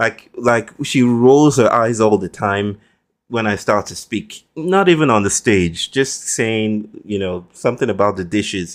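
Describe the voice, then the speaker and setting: Someone with a Nigerian accent speaks at a fairly slow pace, with ordinary pitch variation. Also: man, medium pitch for a man. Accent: Nigerian (Yoruba) English. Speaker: philosopher and author. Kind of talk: podcast interview. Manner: formal, elaborate diction.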